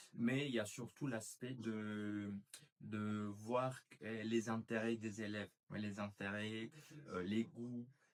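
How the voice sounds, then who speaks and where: At a very slow pace, a man with a fairly low pitch speaks with fairly even intonation. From Colombia, Cali. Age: 20s. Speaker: master's student, language teacher. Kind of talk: interview. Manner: hesitant, many fillers.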